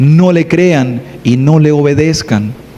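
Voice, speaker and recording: Against noticeable background noise, a man speaks with lively intonation and a fairly high pitch. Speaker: preacher. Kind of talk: sermon. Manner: soft-spoken.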